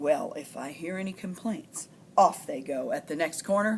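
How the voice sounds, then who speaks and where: A raspy, female-sounding put-on character voice at a middle pitch. It moves at a moderate pace over clear background noise. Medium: read story.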